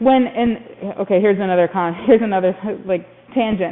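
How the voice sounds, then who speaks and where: In an American accent, a woman speaks with an animated tone at a fairly quick pace. Her pitch shows ordinary variation. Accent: Minnesota accent, comes through at times. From Minnesota. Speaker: physical therapist. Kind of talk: continuing education discussion. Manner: animated, self-interrupting.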